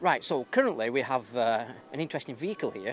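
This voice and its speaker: A man speaks at a medium pitch with a northern English accent. His pace is fairly quick. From northern England. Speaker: YouTuber filming a street protest. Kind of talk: vlog narration. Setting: outdoors.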